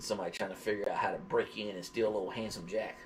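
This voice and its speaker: A man talks with a Southern US accent. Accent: southern drawl. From US South, Georgia. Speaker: dog vlogger / live streamer. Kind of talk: casual livestream chat. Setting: live stream.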